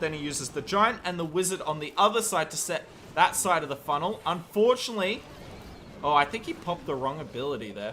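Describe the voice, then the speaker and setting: A man with an Australian accent, high-pitched, at a fairly quick pace with lively intonation, over noticeable background noise. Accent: Australian, sometimes taken for English. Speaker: game commentator and streamer. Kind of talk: live commentary. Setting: live stream. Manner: animated.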